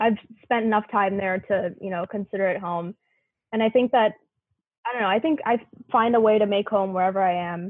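A woman's plain, everyday voice in an American accent, medium in pitch, fairly quick and with fairly even intonation. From US South, Memphis, Tennessee. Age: 20s. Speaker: university student. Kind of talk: casual chat.

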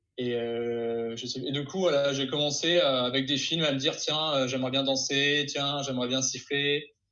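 A man talks at a moderate pace with hardly any pauses and a fairly high pitch. His intonation stays monotone and flat. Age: 20s. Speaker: YouTuber who learns new skills. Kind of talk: casual interview.

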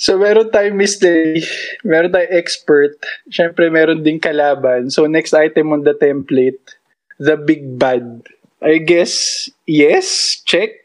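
A fairly high-pitched man speaking at a very slow pace. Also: ordinary pitch variation. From Philippines. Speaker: podcast co-host. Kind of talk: casual chat.

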